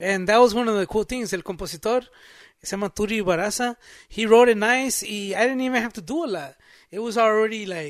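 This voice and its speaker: Here a man speaks with a high pitch. His pace is fairly quick. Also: ordinary pitch variation, very clean recording, silent background. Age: 50s. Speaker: recording engineer. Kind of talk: casual chat.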